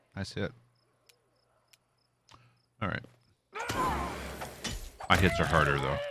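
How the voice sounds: A man speaks slowly at an extremely low pitch, with a bright, sharp tone, a slightly husky edge and ordinary pitch variation.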